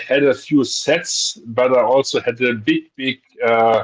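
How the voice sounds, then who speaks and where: A man with a non-native accent talks at a very slow pace and at very even loudness. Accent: foreign. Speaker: guest on toy livestream. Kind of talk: casual chat. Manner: halting.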